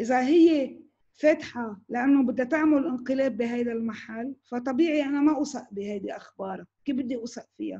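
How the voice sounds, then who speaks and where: Against a quiet background, a woman with a high voice and a dark, mellow tone speaks with hardly any pauses and big swings in loudness. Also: ordinary pitch variation, moderate pace. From Lebanon, Tripoli; Lebanon. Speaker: news director and journalist; news director, journalist. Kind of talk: online talk with Q&A. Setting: video call. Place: home room. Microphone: video call.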